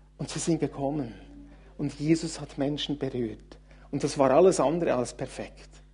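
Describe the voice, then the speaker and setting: Moderate pace over music in the background. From Switzerland, Thun (Bernese Oberland). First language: Swiss German (speaking German). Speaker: guest preacher, church leader. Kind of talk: sermon.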